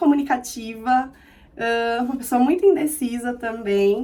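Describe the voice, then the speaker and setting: Speaking at a moderate pace in a São Paulo accent, a woman uses a high pitch and a dark, mellow tone with ordinary pitch variation. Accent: Brazilian Portuguese, São Paulo (paulistano). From Brazil, São Paulo city. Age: 30s. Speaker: vlogger. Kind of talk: casual vlog self-introduction. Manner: expressive.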